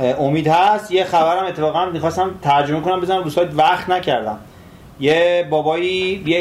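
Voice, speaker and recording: The man's moderately paced speech comes through with noticeable noise in the background. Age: 30s. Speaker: tech and gaming commentator. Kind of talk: casual chat.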